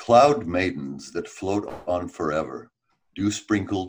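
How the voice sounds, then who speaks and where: A man speaks at a very slow pace with a very deep, low pitch and vocal fry. His intonation is lively. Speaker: musician. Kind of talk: podcast interview, casual chat.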